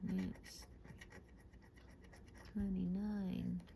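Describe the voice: A woman speaks with a dark, mellow tone at a fairly low pitch, with vocal fry. Her pace is very slow, and her pitch swings widely.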